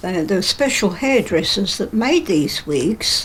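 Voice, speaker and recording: Over noticeable background noise, a woman speaks at a fairly slow pace. Her pitch swings very widely. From England (London), emigrated from Poland as small child. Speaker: care home resident. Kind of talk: interview.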